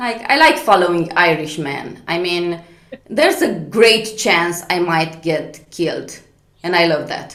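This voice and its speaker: Spoken at a fairly slow pace with a Romanian accent, the voice shows ordinary pitch variation. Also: woman, fairly low pitch for a woman. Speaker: comedian. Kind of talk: stand-up. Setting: video call. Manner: animated.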